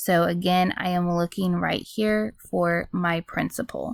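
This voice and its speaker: On a very clean recording with a silent background and a dry, close sound with no echo, a woman with an ordinary speaking voice talks with fairly even intonation. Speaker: math teacher. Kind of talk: tutorial.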